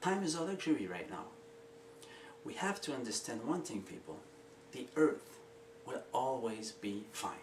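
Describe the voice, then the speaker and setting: Over noticeable background noise and audible room echo, a man with a French Canadian accent talks at a moderate pace with lively intonation. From Quebec. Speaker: inventor and video maker. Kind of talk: casual pitch to camera. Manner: drops H and S sounds; hesitant with fillers.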